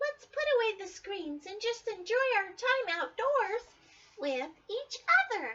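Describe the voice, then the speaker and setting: A squeaky, female-sounding put-on character voice, extremely high in pitch for a woman, at a fairly slow pace. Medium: read story.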